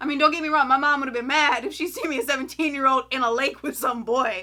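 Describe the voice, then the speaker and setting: The voice is raised and projected, very fast and animated, with a bright, sharp tone and ordinary pitch variation. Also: woman, high pitch for a woman. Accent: Southern. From US South, Florida. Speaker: YouTuber, film reviewer. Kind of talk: casual movie review.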